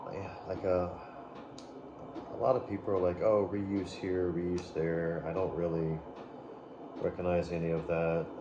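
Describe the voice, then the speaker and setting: A soft-spoken man with a very deep, low pitch talks in a monotone, flat intonation at a fairly slow pace, leaving long, frequent pauses, with audible room echo and noticeable background noise. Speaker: toy reviewer. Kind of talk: unboxing review. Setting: home at night. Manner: rambling filler words.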